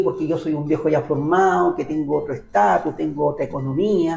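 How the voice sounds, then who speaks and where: With a dark, mellow tone, a man talks in a fairly high pitch. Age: 60s. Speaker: university minstrel musician and auditor. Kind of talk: interview.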